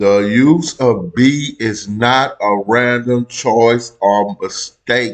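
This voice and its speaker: The voice belongs to a man with a mid-range pitch. Nothing much is heard behind him. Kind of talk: casual reaction commentary. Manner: energetic.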